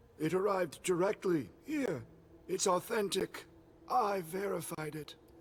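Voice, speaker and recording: A man uses a put-on character voice that is raspy and high-pitched. He speaks at a moderate pace. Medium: video game. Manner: blunt, weary.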